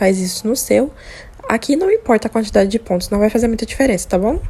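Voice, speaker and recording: A soft-spoken woman at a fairly high pitch and very fast pace, with noticeable background noise. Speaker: crochet tutorial maker. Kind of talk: tutorial.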